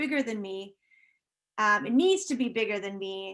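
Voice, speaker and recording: A woman speaks at a moderate pace in a fairly high pitch. The recording is very clean, with a silent background. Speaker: art history professor. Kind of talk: conference presentation. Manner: halting.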